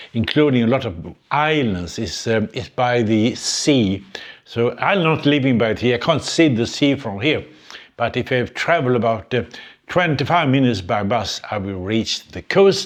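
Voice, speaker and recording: Someone with a Swedish accent speaks at a moderate pace. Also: man, medium pitch for a man, lively intonation. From Sweden. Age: 80s+. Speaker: retired engineer, YouTuber. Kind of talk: casual talk to camera. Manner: hesitant, reflective.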